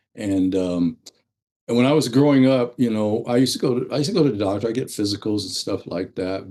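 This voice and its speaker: A man speaks at a fairly quick pace with a medium pitch and a dark, mellow tone. The background is quiet. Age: 70s. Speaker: retired firefighter and EMT. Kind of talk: podcast interview.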